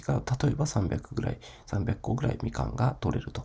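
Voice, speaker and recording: A man's dark, mellow voice carries vocal fry. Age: 40s. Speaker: podcaster, online shop owner. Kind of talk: solo podcast monologue. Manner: casual, many filler words.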